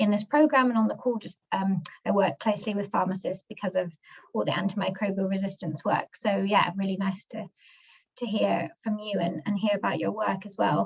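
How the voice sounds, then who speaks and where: Vocal fry runs through this speech at a fairly quick pace. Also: woman. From born in London, grew up in the US. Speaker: global health NGO worker, mentee. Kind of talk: self-introduction in video webinar.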